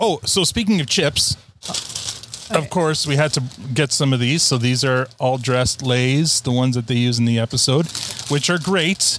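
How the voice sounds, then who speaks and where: A man speaks with very even loudness over noticeable background noise. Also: medium pitch for a man, ordinary pitch variation, moderate pace. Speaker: podcast host. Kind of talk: casual chat. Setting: outdoors on a deck, recorded live with guests.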